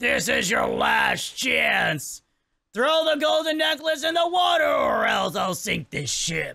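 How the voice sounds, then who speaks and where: A man shouts in a put-on character voice, his pitch extremely high. He goes at a fairly slow pace. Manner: menacing.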